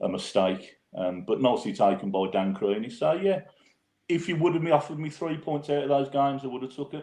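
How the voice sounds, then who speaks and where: A man of medium pitch with a strong Brummie accent, fairly quick speech and very wide pitch swings. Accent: strong Birmingham (Brummy). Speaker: football fan podcaster. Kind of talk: casual podcast chat.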